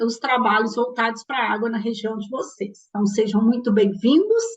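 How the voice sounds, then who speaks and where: A woman speaks in a strong Minas Gerais accent. Her voice is fairly high and her intonation fairly even. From Minas Gerais, Brazil (Belo Horizonte). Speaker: ecologist and course lecturer. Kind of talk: lecture. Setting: recorded online class.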